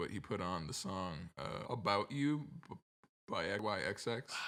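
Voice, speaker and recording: Lively intonation and vocal fry color a man's fairly low-pitched, fairly slow speech on a very clean recording with a silent background. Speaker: music producer. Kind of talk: interview. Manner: halting.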